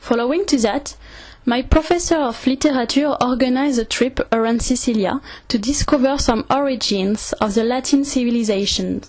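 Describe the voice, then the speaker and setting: Through noticeable background noise, a woman with a French accent talks at a moderate pace in a high pitch, with ordinary pitch variation and very even loudness. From France, Orléans. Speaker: travel video maker. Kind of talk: scripted narration.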